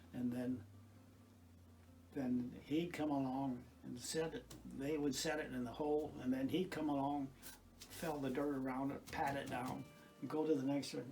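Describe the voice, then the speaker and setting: Using a dark, mellow tone and an American accent, a man speaks at a moderate pace with fairly even intonation and long, frequent pauses, with audible room echo around him. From US Midwest, north Iowa. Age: 80s+. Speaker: retired farmer and garden volunteer. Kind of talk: casual reminiscence. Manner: halting, many false starts.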